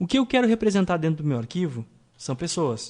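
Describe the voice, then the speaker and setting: A man's dark, mellow voice at a moderate pace against a quiet background. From Rio Grande do Sul, Brazil. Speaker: programming instructor. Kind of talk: tutorial.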